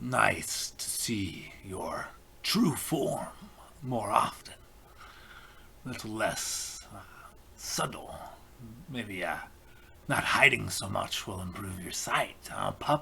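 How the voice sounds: Whispering in a put-on character voice, a man goes at a very slow pace with big swings in loudness and long, frequent pauses.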